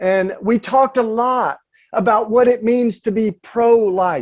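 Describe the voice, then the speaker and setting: A man speaks in a Southern accent. His pitch is high and shows ordinary variation. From US South, East Tennessee. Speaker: activist and author. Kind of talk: panel talk. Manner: halting, many fillers.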